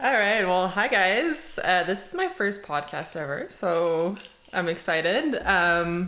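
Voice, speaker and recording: Audible room echo carries a woman's voice. She speaks at a medium pitch and a very slow pace, with lively intonation. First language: French. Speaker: operations director, podcast guest. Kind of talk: casual chat.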